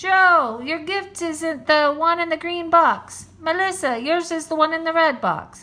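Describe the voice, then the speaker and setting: At a fairly slow pace, a woman uses a raised, projected, put-on character voice with an extremely high pitch. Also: hardly any pauses. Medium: read story. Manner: warm, merry.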